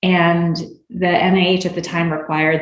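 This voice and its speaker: A woman with a fairly low voice speaks amid audible echo from the room. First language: Spanish. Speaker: physician and clinical researcher. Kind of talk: interview.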